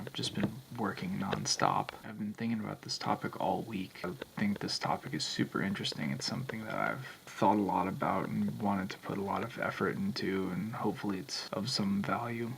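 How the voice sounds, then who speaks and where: Over noticeable background noise, a man talks at a fairly quick pace with hardly any pauses, his fairly low pitch showing ordinary variation. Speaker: vlogger. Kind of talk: vlog monologue. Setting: at home at night.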